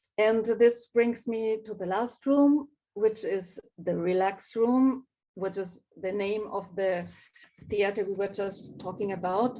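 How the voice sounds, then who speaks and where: A woman with a non-native accent speaks very slowly at a medium pitch, in a dark, mellow tone with fairly even intonation. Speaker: graphic designer. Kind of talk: live talk presenting own work. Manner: hesitant, many fillers.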